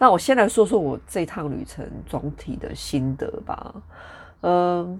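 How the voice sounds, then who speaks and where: A woman speaks at a fairly slow pace in a fairly low pitch, her pitch swinging very widely and her loudness shifting in big swings, on a very clean recording with a silent background. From Taiwan, Taichung. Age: 40s. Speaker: podcast host. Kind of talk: casual solo monologue. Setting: home recording with traffic noise in background.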